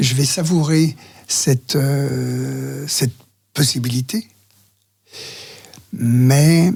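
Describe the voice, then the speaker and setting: A man's fairly high, somewhat breathy voice with a dark, mellow tone, ordinary pitch variation, a very slow pace and long, frequent pauses. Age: 70s. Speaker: men's talk group facilitator. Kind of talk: interview answer. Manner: hesitant.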